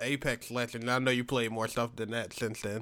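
The tone of this man's voice is bright and sharp. Nothing but silence lies behind him in a very clean recording. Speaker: podcast host. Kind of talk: casual chat. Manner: joking, hesitant repetition.

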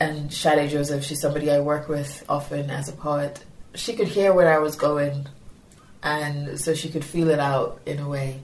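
A woman with a Yoruba accent, a very deep, low pitch and monotone, flat intonation at a moderate pace, over noticeable background noise. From Nigeria. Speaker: poet and educator. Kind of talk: interview with poetry reading. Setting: poetry festival.

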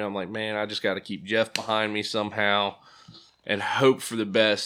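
A man with an American accent speaks fairly quickly and at a fairly low pitch, in a normal speaking voice. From Pennsylvania. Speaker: sprint car driver and Marine veteran. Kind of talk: casual interview chat. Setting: studio.

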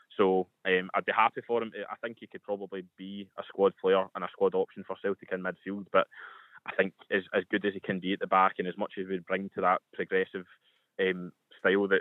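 A man talks at a fairly quick pace with a Scottish accent. His loudness swings widely. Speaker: football fan contributor. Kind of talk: radio sports talk.

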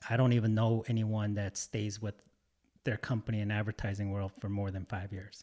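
A man's fairly low, dark, mellow voice with a Michigan accent, monotone and flat, at a fairly quick pace in a dry, close recording with no echo. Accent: Michigan American. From metro Detroit, Michigan. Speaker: food photographer and content creator. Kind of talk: casual chat. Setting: in-person studio recording.

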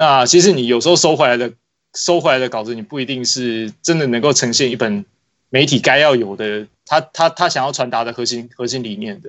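A man's unremarkable speaking voice at medium pitch, with ordinary pitch variation and a fairly quick pace. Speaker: basketball magazine editor. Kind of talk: casual chat.

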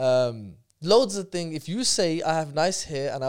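A man speaks with a Birmingham accent. The recording is very clean, with a silent background. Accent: Birmingham English (Brummie). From Birmingham, England. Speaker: personal development course teacher. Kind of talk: casual chat.

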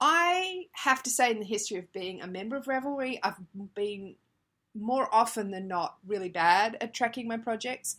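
An ordinary speaking voice: a woman's, fairly high, with lively intonation at a moderate pace, on a very clean recording with a silent background. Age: 30s. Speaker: craft podcast host. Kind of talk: casual solo podcast monologue.

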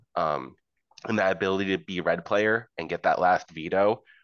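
In a dry, close sound with no echo, a man with an American accent speaks at a very deep, low pitch. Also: quiet background. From US South. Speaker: tabletop gamer. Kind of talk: casual chat.

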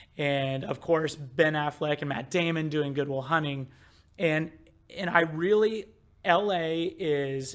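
A normal speaking voice from a man with an American accent, fairly high pitch, fairly even intonation and a fairly slow pace. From US Midwest. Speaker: marketing director. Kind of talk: casual chat.

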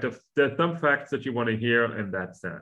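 With lively intonation, a man speaks at a medium pitch in an unremarkable speaking voice. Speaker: podcast host. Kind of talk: casual interview conversation.

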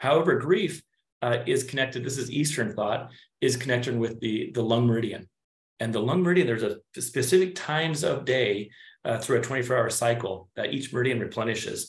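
This man's voice is somewhat breathy and sits at a medium pitch. He talks at a fairly quick pace with ordinary pitch variation. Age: 40s. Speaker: chiropractor. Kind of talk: conversational explanation and role play.

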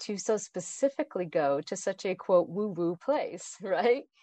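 A woman speaks in a plain, everyday voice with an American accent, medium pitch and lively intonation. The sound is dry and close with no echo, over a quiet background. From Idaho, US. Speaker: author and entrepreneur. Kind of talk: interview.

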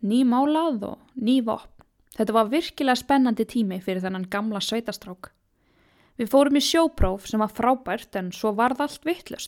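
A woman at a fairly high pitch speaks with lively intonation on a very clean recording with a silent background. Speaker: podcast host. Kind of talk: scripted narration. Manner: animated.

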